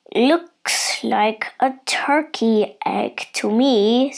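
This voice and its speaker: Using a put-on character voice, a woman speaks at a high pitch. Her pace is very slow. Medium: read story. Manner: blunt, knowing.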